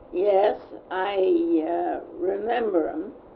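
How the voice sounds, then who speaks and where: A woman speaks with audible room echo. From Switzerland. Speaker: elderly church member. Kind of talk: oral history interview. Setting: at home. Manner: halting.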